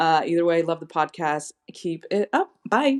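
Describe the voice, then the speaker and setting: A woman speaks with an American accent at a moderate pace. She has a fairly low pitch and an ordinary speaking voice. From US West, northern California. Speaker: podcast listener leaving a voice memo. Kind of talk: recorded voice memo question.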